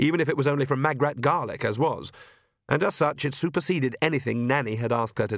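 Pitch variation stays ordinary as the text is read aloud in a natural voice. Little sound comes from the background.

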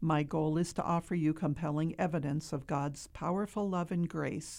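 The voice has a dark, mellow tone and an American accent. It moves at a moderate pace with ordinary pitch variation. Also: woman, very clean recording, silent background. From upstate New York. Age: 60s. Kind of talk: interview testimony. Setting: studio.

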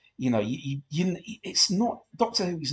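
A man speaks at a moderate pace in a somewhat breathy voice. His pitch swings very widely. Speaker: commentary podcaster. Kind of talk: episode commentary. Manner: halting, many fillers.

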